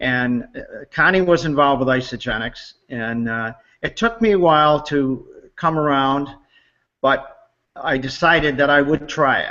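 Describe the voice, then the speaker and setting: A man is speaking at a fairly slow pace. His pitch variation is ordinary. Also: fairly high pitch for a man. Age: 60s. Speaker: customer giving testimonial. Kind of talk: testimony. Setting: online webinar hangout. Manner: halting with many fillers.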